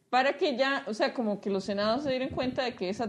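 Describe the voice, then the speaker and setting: A woman talks in a normal speaking voice. Her pitch variation is ordinary. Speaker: podcast host. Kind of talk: casual chat.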